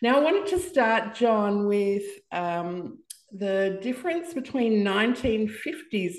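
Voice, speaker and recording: A woman's unremarkable speaking voice, medium in pitch, with lively intonation at a fairly slow pace. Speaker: podcast host. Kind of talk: casual interview.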